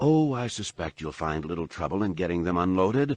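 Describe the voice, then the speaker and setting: A man puts on a character voice that is wheezy and very deep, swinging very widely in pitch at a fairly quick pace, with a dry, close sound, no echo and a quiet background. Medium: read story. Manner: chuckling, evasive.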